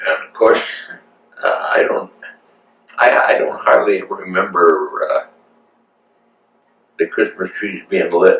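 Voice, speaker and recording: A man with an extremely high pitch for a man speaks at a fairly slow pace with lively intonation and long, frequent pauses. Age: 90s. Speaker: grandfather sharing family memories. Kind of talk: family interview. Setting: at home. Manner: halting.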